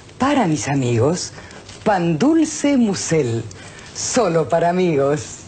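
A woman talks very slowly at a fairly low pitch, with very wide pitch swings. Background noise can be clearly heard. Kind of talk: TV commercial read.

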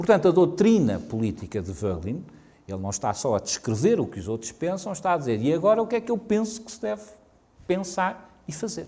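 Talking at a fairly quick pace, a man with a high pitch and a dark, mellow tone makes very wide pitch swings and big swings in loudness. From Portugal. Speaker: professor. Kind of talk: lecture. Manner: halting.

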